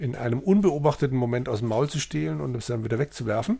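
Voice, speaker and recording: A man speaks in a medium-pitched, dark and mellow voice. It sounds somewhat breathy. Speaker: podcast co-host, bookseller. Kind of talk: casual chat.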